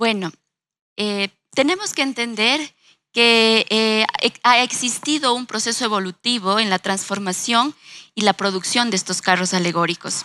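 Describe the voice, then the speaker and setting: Fairly slow with long, frequent pauses, a woman speaks at a fairly high pitch in a bright, sharp tone, the recording very clean with a silent background and a dry, close sound with no echo. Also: ordinary pitch variation. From Ecuador, Ambato. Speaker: designer and university lecturer. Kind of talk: panel discussion.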